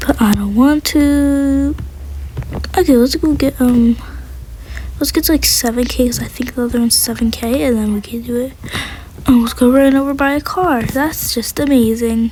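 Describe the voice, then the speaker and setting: A woman speaks at a moderate pace with long, frequent pauses. Noticeable background noise sits behind her voice. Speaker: gaming youtuber. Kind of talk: gameplay commentary.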